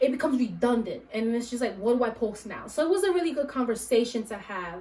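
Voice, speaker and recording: Her pitch is high and her pace very fast. Noticeable background noise surrounds this woman's voice. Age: 30s. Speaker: podcast host. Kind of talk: casual chat.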